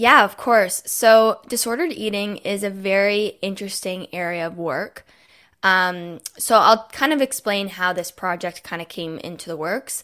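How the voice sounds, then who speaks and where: In a very clean recording with a silent background, a woman with a Canadian accent speaks at medium pitch and a moderate pace, her bright, sharp tone showing ordinary pitch variation and big swings in loudness. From Canada, Toronto. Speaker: master's student and wellness content creator. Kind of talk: casual interview.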